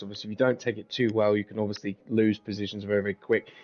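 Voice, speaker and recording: This man speaks in an English accent at a medium pitch. His pace is very fast. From Britain. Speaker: guest co-commentator. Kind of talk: live commentary.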